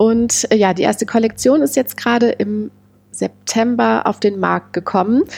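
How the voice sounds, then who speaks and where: The voice is a woman's. It has a medium pitch. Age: 30s. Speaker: amateur tennis player and small business founder. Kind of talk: casual interview. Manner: hesitant, many filler sounds.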